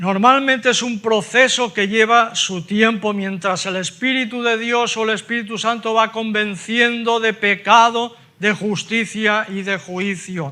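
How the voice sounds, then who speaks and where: Raised and projected, a man's high voice moves at a fairly slow pace with fairly even intonation and hardly any pauses. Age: 70s. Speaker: preacher. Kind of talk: sermon.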